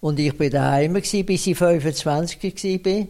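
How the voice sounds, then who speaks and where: In an Aargau accent, the speaker talks at a very slow pace with a dark, mellow tone and ordinary pitch variation. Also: man. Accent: Swiss German, Aargau dialect. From Switzerland, canton Aargau. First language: Swiss German (speaking German). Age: 90s. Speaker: retired municipal finance administrator. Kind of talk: interview. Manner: halting.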